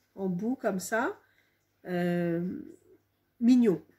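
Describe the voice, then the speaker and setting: A woman speaks at a very slow pace in a dark, mellow tone. Her voice is somewhat breathy. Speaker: home sewer. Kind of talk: casual talk to camera.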